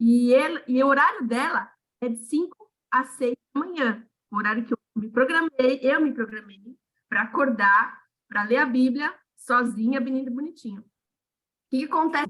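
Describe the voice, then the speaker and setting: Her voice is high-pitched with a bright, sharp tone as this woman talks at a moderate pace. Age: 40s. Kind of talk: casual chat. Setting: video call. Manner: animated.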